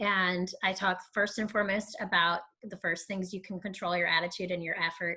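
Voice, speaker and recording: A woman of medium pitch speaks with a bright, sharp tone. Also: moderate pace. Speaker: improv-based corporate trainer. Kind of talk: webinar interview. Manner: animated.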